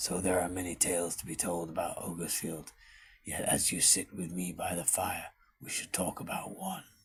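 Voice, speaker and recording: A man puts on a cartoonish character voice with a very deep, low pitch. He talks at a moderate pace. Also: fairly even intonation. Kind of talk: fireside storytelling narration. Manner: measured, reflective.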